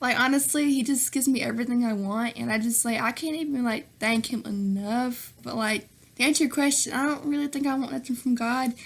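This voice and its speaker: Speech comes at a fairly quick pace in a Southern US accent. There are hardly any pauses. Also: woman, high pitch for a woman. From US South, Nashville, Tennessee. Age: 20s. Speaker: YouTuber. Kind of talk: Q&A vlog. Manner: animated.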